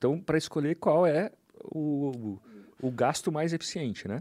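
On a very clean recording with a silent background, a man with a Brazilian accent talks at a moderate pace and fairly high pitch with ordinary pitch variation. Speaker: journalist and author. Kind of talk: casual chat.

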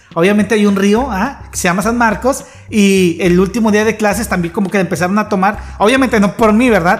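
Very even loudness and fairly even intonation at a fairly quick pace, with noticeable background noise. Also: man, high pitch for a man. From Mexico, Tampico area. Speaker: podcast host. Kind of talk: casual chat.

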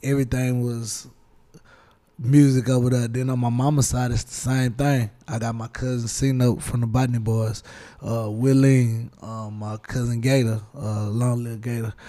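A man with a Houston accent talks at a moderate pace in a dark, mellow tone, his medium-pitched voice monotone and flat yet swinging widely in loudness. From Houston, Texas. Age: young. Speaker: rapper. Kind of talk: casual interview. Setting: studio.

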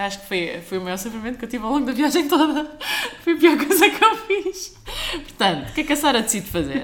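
This woman talks at a fairly quick pace, her pitch swinging very widely. Noticeable background noise and audible room echo fill the recording. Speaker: software engineer. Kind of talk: casual chat.

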